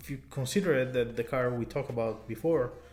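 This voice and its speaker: Over background music, a man with an Italian accent speaks at a medium pitch. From Italy. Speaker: car YouTuber. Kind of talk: casual talk to camera.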